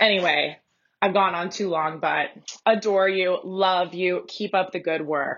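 Fairly slow and with fairly even intonation, a woman talks at a medium pitch in an unremarkable speaking voice. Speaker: listener leaving voice memo. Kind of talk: voice memo.

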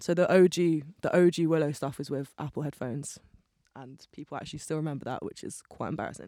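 The speaker talks at a very fast pace in a Bristol accent, with fairly even intonation. Loudness swings widely in a very clean recording with a silent background. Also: woman, very deep, low pitch for a woman. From England, Bristol. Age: 20s. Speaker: musician. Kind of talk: casual chat.

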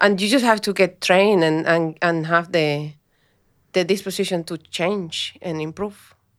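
This woman talks at a fairly slow pace, her pitch fairly low and her intonation fairly even. The recording is very clean, with a silent background. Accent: Spanish. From Colombia, north. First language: Spanish. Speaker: mining engineering manager. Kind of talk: interview.

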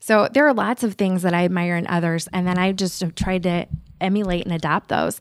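With an American accent, a woman talks fairly quickly in an ordinary speaking voice, medium in pitch with fairly even intonation. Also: very clean recording, silent background. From Nebraska, Omaha. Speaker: lawyer and law firm owner. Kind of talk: interview.

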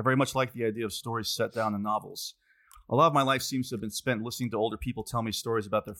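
The intonation holds fairly even. The words are read aloud in a natural voice.

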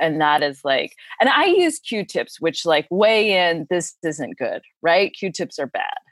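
Heard in a dry, close sound with no echo, a woman with an unremarkable speaking voice talks at a fairly low pitch and a fairly slow pace. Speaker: fitness enthusiast guest. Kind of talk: casual chat.

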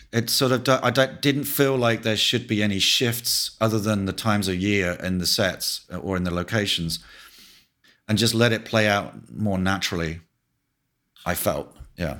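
On a very clean recording with a silent background, a man with an English accent speaks at a moderate pace in a fairly low, bright, sharp voice with ordinary pitch variation. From England. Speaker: cinematographer. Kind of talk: interview.

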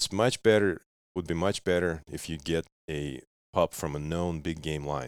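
A man with a Russian accent and a very deep, low pitch, with ordinary pitch variation, a moderate pace, and a very clean recording with a silent background. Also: dry, close sound with no echo. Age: 30s. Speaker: dog breeder and hunter. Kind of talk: casual interview chat. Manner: halting.

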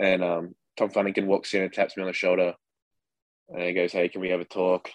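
A man with an Australian accent talks very fast in a very deep, low voice. His intonation is monotone and flat, and the sound is dry and close with no echo. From Western Australia. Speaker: minor league baseball catcher. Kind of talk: interview. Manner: casual.

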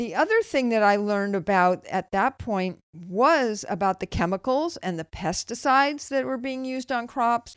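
A woman with a Californian accent talks at a moderate pace with a fairly high pitch, lively intonation and hardly any pauses. The recording is very clean, with a silent background and a dry, close sound with no echo. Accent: General American, Californian. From US West Coast, Los Angeles. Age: 60s. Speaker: health podcast host. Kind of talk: casual personal monologue.

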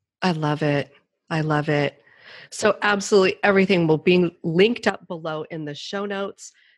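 The background is quiet. It's a plain, everyday voice. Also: woman, fairly low pitch for a woman, ordinary pitch variation, moderate pace. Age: 50s. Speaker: podcast host and author. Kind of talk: interview.

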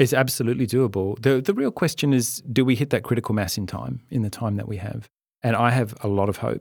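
A man with an Australian accent talks at a very fast pace with vocal fry. The recording is very clean, with a silent background. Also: medium pitch for a man, ordinary pitch variation. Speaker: writer and former senator. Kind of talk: interview.

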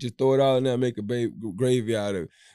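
Talking at a fairly quick pace, a man with a Louisiana accent has a medium pitch and a dark, mellow tone, heard in a very clean recording with a silent background and a dry, close sound with no echo. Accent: Louisiana Southern. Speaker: podcast co-host. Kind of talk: casual chat.

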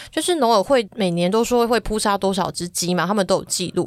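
Lively intonation runs through an unremarkable speaking voice delivered at a moderate pace. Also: woman. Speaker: agriculture reporter. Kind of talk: podcast interview.

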